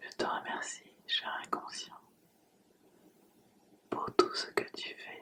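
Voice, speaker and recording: Whispering very slowly, a woman leaves long, frequent pauses, her loudness swinging widely over noticeable background noise. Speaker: hypnotherapist. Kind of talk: hypnosis relaxation session. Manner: whispered, soft, slow.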